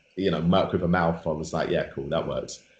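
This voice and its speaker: This is a man speaking. He talks with a London accent. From London, England. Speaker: rapper and author. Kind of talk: interview, casual chat.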